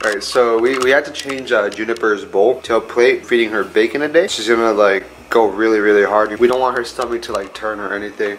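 Light background noise runs under a man's voice. He speaks at a fairly quick pace, with hardly any pauses and fairly even intonation. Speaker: vlogger. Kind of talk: casual chat. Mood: cheerful, laughing.

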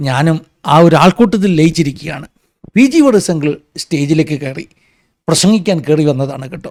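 A man with a plain, everyday voice, fairly high pitch, lively intonation and big swings in loudness. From Kerala, Ranni (Pathanamthitta). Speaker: pastor and commentary vlogger. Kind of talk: opinion commentary monologue.

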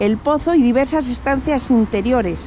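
With light background noise and a dry sound with no echo, a woman speaks at a high pitch and a fairly slow pace with ordinary pitch variation. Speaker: travel vlogger. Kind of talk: reading an info sign aloud. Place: street. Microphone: phone near.

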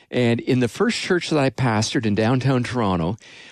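A man with a Canadian accent at a moderate pace, dry sound with no echo and a quiet background. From Canada. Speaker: pastor and radio host; pastor, radio host. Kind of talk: casual chat; radio sermon. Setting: studio. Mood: warm, storytelling. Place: studio. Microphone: studio mic.

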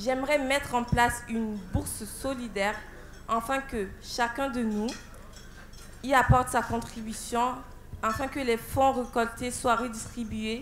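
Her fairly high voice has a fairly bright tone, moving at a fairly slow pace with fairly even intonation.

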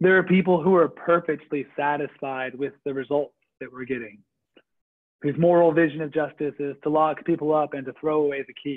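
A man's unremarkable speaking voice, fairly high in pitch and at a fairly quick pace, over a quiet background. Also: fairly even intonation. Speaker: faith leader. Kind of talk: reflective talk. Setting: video call. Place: home room. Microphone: video call.

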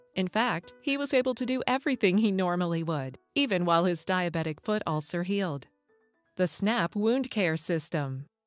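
Lively intonation and a warm tone come through with music in the background. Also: woman. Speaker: voice actor. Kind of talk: corporate narration, medical product explainer. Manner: warm, storytelling.

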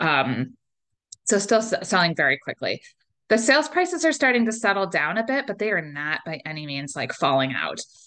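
A woman with an American accent, a bright, sharp tone and very wide pitch swings, at a moderate pace against a quiet background. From Northeast Ohio. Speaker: realtor. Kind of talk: webinar presentation. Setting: online webinar. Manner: casual, conversational with filler words. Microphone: webcam.

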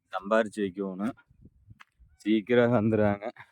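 A man speaks with a fairly low pitch. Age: old. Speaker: vlogger. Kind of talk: casual vlog talk.

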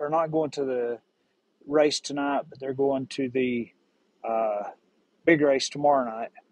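A man speaks at a fairly slow pace with fairly even intonation. The sound is dry, with no echo. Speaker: vlogger. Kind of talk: casual vlog chat. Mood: relaxed, chatty. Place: street. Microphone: phone near.

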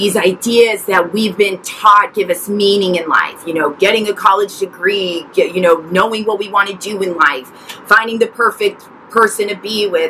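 Light background noise sits under a woman talking at a moderate pace. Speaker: mental health vlogger. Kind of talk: personal story vlog. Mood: earnest, emotional. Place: garden.

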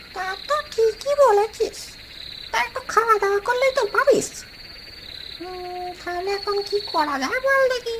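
A cartoonish character voice at an extremely high pitch and moderate pace, over clear background noise. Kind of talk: comic cartoon ghost voice. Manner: gruff, condescending, gullible.

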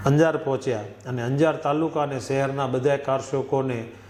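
A man speaks at medium pitch with fairly even intonation. Noticeable background noise and audible room echo surround him. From Kutch, Gujarat (Ratnal village). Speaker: former volunteer activist. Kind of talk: testimony.

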